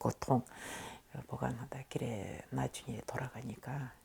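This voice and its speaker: A woman's dark, mellow voice comes across as somewhat breathy. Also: very clean recording, silent background. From Tashkent, Uzbekistan. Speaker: Koryo-saram oral history interviewee. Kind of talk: oral history interview answer.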